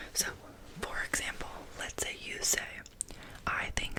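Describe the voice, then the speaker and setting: A fairly slow whisper, noticeable background noise around it. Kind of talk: educational ASMR explanation.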